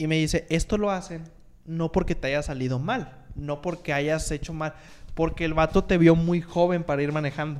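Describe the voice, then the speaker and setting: At a moderate pace, a man with an unremarkable speaking voice talks at a fairly high pitch and with fairly even intonation. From Monterrey, Mexico. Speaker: podcast co-host and editor. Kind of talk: casual chat.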